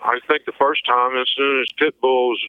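A man with a Missouri accent at a medium pitch and a fairly slow pace. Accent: Midwestern American (Missouri). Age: 50s. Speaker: convicted killer, interviewee. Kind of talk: interview testimony.

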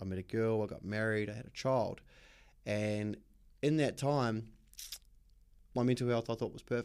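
A man with a New Zealand accent talks at a moderate pace and medium pitch, his intonation fairly even. His loudness swings widely, and he takes long, frequent pauses. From New Zealand, West Auckland. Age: 30s. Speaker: mental health advocate. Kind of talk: casual chat. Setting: studio.

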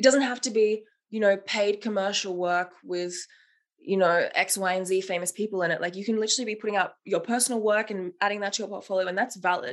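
Against a quiet background, a woman with an Australian accent speaks at a very fast pace, her medium pitch showing ordinary variation. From Melbourne, Australia. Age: 20s. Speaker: set and costume designer. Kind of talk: casual interview.

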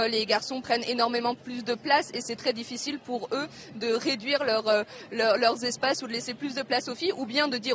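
A woman speaks at a moderate pace in a high pitch, with ordinary pitch variation and noticeable background noise. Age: young. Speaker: primary school teacher. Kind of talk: live interview. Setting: outdoor street demonstration.

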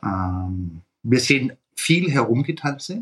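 Somewhat breathy, a man at a medium pitch lets his voice swing very widely. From Swabia, Germany. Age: 50s. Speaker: fund industry consultant. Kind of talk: interview.

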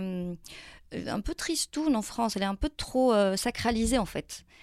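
A woman with an unremarkable speaking voice and lively intonation is recorded with a dry, close sound that has no echo. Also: very clean recording, silent background. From Morocco (Tan-Tan, south). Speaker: poet. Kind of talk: interview. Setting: studio.

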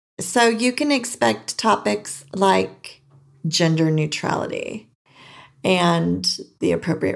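In a very clean recording with a silent background, a woman with an American accent talks at a very slow pace. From California. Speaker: podcast host. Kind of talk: casual monologue. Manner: animated.

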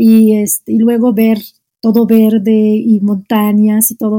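This woman has an Arabic accent and a fairly high, somewhat breathy voice with a dark, mellow tone. Her intonation is monotone and flat, and the sound is dry and close with no echo. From Algeria, Oran. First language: Arabic (speaking Spanish). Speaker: Arabic teacher. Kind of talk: casual interview. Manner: halting, frequent repetitions.

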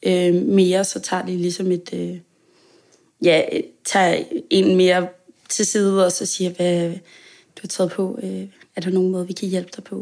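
At a moderate pace with long, frequent pauses, a woman of medium pitch speaks with fairly even intonation on a very clean recording with a silent background. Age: 20s. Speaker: pastry chef sharing eating disorder experience. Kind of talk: interview. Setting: home kitchen. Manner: hesitant, many fillers.

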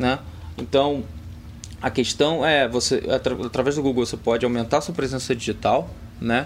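This man's voice sits at a medium pitch and carries vocal fry. He leaves long, frequent pauses. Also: ordinary pitch variation, moderate pace. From Rio de Janeiro, Brazil. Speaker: tech company partnerships manager. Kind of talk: podcast interview. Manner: halting, many fillers.

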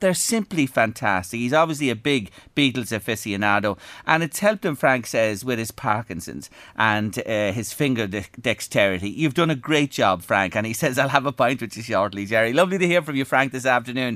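Speaking fairly quickly with an Irish accent, a man has a bright, sharp tone. The recording is very clean, with a silent background. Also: medium pitch for a man. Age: 60s. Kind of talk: radio show chat.

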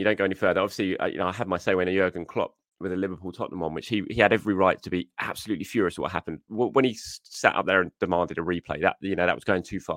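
With an English accent, a man speaks at a very fast pace in a very deep, low pitch, the sound dry and close with no echo over a quiet background. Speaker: football journalist podcaster. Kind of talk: angry rant, heated football reaction. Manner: exasperated, indignant; repetitive, rapid, stumbling over words.

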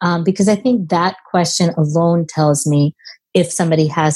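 A woman's fairly low, somewhat breathy voice at a moderate pace, in a dry, close recording with no echo. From India, moved to US at 10. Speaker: immigration lawyer. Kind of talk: interview conversation.

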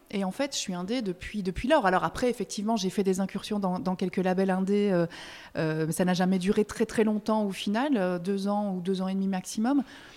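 On a very clean recording with a silent background, a woman speaks at a medium pitch and a moderate pace. Her tone is dark and mellow, with ordinary pitch variation. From Belgium. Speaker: music press officer. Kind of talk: casual interview. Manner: hesitant, many repetitions and fillers.

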